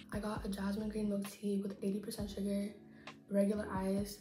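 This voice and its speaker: With music playing in the background and audible room echo, a woman talks at a fairly high pitch. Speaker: college student and YouTuber. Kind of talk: casual chat. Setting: apartment with roommates. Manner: soft-spoken, talking quietly. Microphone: bad audio quality, quiet.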